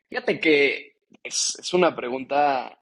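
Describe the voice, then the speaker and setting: A man with a normal speaking voice, fairly high in pitch, with fairly even intonation. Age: 20s. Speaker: young politician, legislative adviser. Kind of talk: podcast interview.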